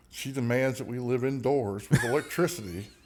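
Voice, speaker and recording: Fairly quick, lively speech from a man with a Southern US accent. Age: 60s. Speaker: singer-songwriter. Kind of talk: casual chat.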